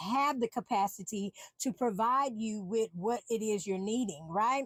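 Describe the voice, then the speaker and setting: A woman talks at a moderate pace in a fairly high pitch with ordinary pitch variation. The sound is dry and close, with no echo. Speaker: podcast host and empowerment coach. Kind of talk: solo podcast monologue. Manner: loud; halting, many fillers and restarts.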